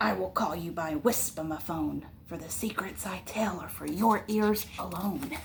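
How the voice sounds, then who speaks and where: A woman puts on a gruff character voice at a moderate pace. Clear background noise can be heard. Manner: grunting, gruff.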